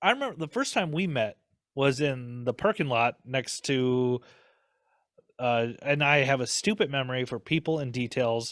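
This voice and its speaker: Someone with a Minnesotan accent talks at a moderate pace with ordinary pitch variation, on a very clean recording with a silent background. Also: man, medium pitch for a man, dry, close sound with no echo. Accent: Minnesota. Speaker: podcast host. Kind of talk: casual chat. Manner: animated.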